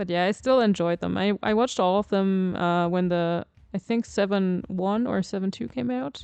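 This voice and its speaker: A woman speaks in a German accent at a moderate pace and medium pitch. Her pitch variation is ordinary, and the sound is dry and close with no echo. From Germany. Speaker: video game streamer. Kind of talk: casual chat.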